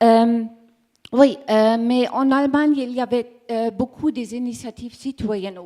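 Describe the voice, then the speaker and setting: Speaking at a very slow pace, a woman has a fairly high pitch and a dark, mellow tone. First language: German (speaking French). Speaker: communications manager of energy cooperative. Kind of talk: conference presentation. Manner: halting, searching for words.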